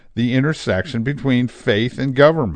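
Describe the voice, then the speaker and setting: A man at medium pitch, with ordinary pitch variation and a moderate pace, against a quiet background. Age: 60s. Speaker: radio talk show host. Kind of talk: solo monologue. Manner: halting, many filler words.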